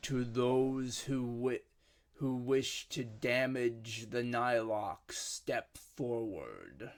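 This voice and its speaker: A man puts on a booming character voice at medium pitch, speaking very slowly with monotone, flat intonation. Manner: commanding, ominous.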